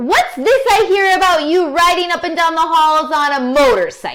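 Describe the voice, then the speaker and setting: Her pitch sits extremely high. The woman is doing a put-on character voice. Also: moderate pace. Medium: read story.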